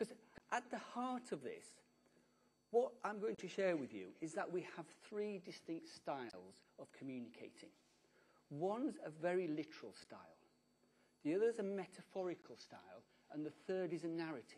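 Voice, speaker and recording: With a British accent, a man talks at a high pitch with lively intonation and long, frequent pauses. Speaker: conference speaker. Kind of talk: conference talk. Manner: fast.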